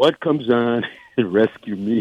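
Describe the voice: A man at medium pitch, slightly husky at the edges, at a fairly slow pace, with a dry, close sound and no echo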